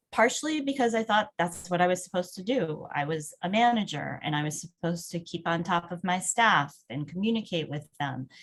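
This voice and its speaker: Lively intonation and a fairly quick pace carry this somewhat breathy voice along with hardly any pauses. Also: woman, fairly low pitch for a woman. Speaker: webinar presenter. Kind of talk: webinar presentation.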